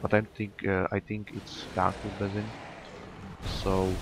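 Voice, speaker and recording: A man with a non-native accent speaks fairly slowly in a very deep, low, monotone and flat voice over noticeable background noise. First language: not English. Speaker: gaming YouTuber. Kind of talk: gameplay tutorial commentary. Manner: halting, many fillers.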